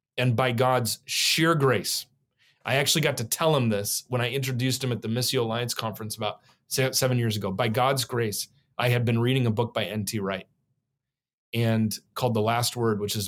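On a very clean recording with a silent background, a man with an American accent speaks at a medium pitch and a fairly quick pace, his intonation fairly even. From Oregon, US Pacific Northwest. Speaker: professor, author and former pastor. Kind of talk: podcast interview. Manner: halting, with many fillers and repetitions.

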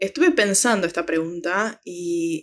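A woman speaks with an Argentine accent at a very slow pace. Her pitch makes very wide swings. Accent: Rioplatense Argentine Spanish. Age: 20s. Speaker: film social media curator. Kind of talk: interview. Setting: remote call.

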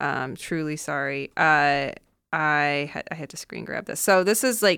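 An American accent with ordinary pitch variation, on a very clean recording against a silent background. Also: woman. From US Midwest and Seattle area. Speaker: writer and podcast host. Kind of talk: casual chat. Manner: halting.

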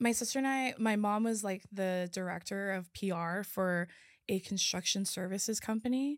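A woman with a plain, everyday voice and an American accent, medium pitch, ordinary pitch variation, moderate pace and very even loudness, on a very clean recording with a silent background. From California. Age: 20s. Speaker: podcaster. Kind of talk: casual chat.

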